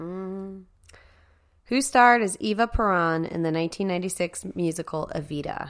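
Recorded very cleanly with a silent background, a plain, everyday voice speaks at a moderate pace with ordinary pitch variation. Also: woman, medium pitch for a woman. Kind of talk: casual banter and games. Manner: joking, sarcastic, profane.

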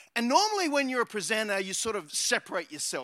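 A man's bright, sharp voice with an Australian accent and lively intonation, dry and close with no echo. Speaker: pastor. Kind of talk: sermon.

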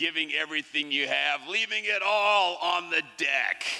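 At a fairly slow pace, a man talks in an American accent with lively intonation. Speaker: fisherman and poet. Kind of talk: poem performed on stage. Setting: stage with audience in theatre. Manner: animated, rhythmic, wry; deliberate, cadenced delivery.

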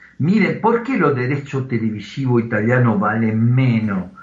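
Over noticeable background noise and audible room echo, a man speaks at a moderate pace with lively intonation. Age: 60s. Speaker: football journalist. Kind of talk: interview.

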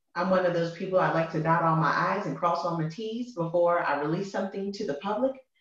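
A woman talks at a moderate pace with ordinary pitch variation. Her pitch sits fairly low. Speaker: Bible-reading podcaster and church leader. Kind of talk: casual interview chat. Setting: recording in a bathroom at home. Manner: passionate. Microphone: echoey room sound.

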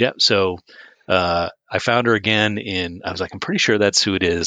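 A man with a very deep, low pitch and a bright, sharp tone talks at a fairly quick pace with fairly even intonation. The sound is dry and close with no echo, against a quiet background. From US Northeast. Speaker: podcast co-host. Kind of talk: casual chat.

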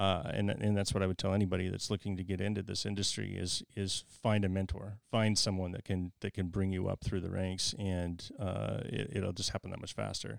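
In a very deep, low voice, a man speaks at a fairly quick pace with monotone, flat intonation and hardly any pauses, in a dry, close sound with no echo on a very clean recording with a silent background. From Idaho, Idaho Falls. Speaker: commercial real estate broker. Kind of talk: casual interview. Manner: halting.

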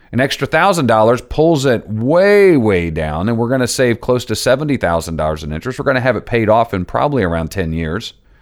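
With hardly any pauses, a man talks at a fairly quick pace and a medium pitch, his voice making very wide pitch swings. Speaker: financial advisor podcast host. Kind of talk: solo podcast explainer.

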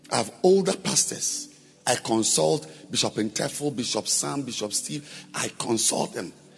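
The voice moves at a fairly slow pace with very wide pitch swings. Music plays in the background. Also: man, medium pitch for a man. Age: 50s. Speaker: pastor. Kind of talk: sermon. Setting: church. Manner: animated.

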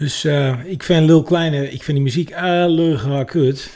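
A somewhat breathy man with a dark, mellow tone and ordinary pitch variation. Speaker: musician and guitarist. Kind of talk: casual chat. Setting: studio.

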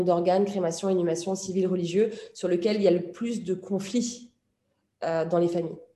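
Amid audible room echo, a woman speaks in a dark, mellow tone with fairly even intonation. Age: 40s. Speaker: journalist and author. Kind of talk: interview.

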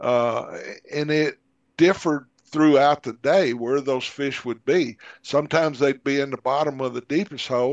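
Speaking in a Southern US accent, a man has a fairly high pitch and fairly even intonation at a moderate pace. The sound is dry and close with no echo, over a quiet background. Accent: Southern American. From US South (Arkansas). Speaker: magazine editor and outdoor writer. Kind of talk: casual interview chat.

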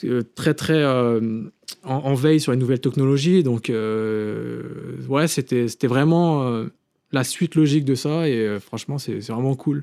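The man's pitch is medium and varies in an ordinary way. He speaks at a very slow pace with long, frequent pauses. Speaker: film director. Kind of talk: casual chat.

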